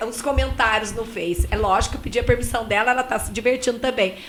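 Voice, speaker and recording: Behind the speech, background noise is noticeable. The speaker is a woman. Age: 50s. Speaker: radio co-host. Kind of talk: casual chat. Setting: studio.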